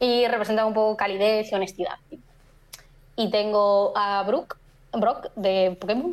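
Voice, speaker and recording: Keeping a very even loudness, a woman with a fairly high pitch and ordinary pitch variation speaks at a fairly slow pace with long, frequent pauses. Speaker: photographer and photography teacher. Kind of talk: casual chat. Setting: live stream.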